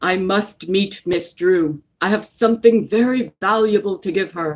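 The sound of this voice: In a put-on character voice, a female-sounding speaker uses a middle pitch at a moderate pace.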